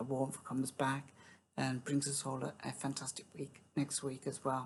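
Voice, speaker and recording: Soft-spoken and slow-ish, a woman with a British accent talks in a very deep, low pitch. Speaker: music reaction youtuber. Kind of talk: casual chat. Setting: at home, early morning. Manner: halting.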